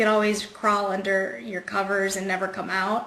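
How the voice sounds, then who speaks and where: With audible room echo and noticeable background noise, this woman keeps to a moderate pace. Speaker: cancer survivor and singer. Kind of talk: interview.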